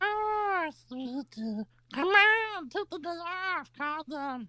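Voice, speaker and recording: In a put-on character voice, a woman squeaks at an extremely high pitch with very wide pitch swings, speaking at a very slow pace in a dry, close sound with no echo. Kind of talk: crude comic parody redub. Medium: fan dub. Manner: deadpan sarcastic.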